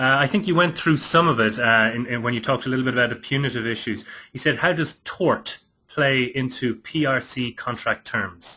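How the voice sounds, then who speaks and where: In a strong Irish accent, a man speaks at a fairly quick pace with medium pitch and ordinary pitch variation. His tone is bright and sharp, and the background is quiet. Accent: thick Irish. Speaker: webinar moderator. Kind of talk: webinar Q&A moderation. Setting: online webinar.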